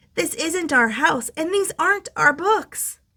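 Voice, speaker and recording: A woman puts on a squeaky character voice at an extremely high pitch with very wide pitch swings. She speaks at a fairly slow pace. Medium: read story. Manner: soft, gentle.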